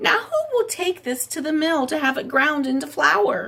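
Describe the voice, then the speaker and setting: In a squeaky, put-on character voice, a woman talks at a moderate pace with a high pitch and very wide pitch swings. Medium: read story. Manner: earnest.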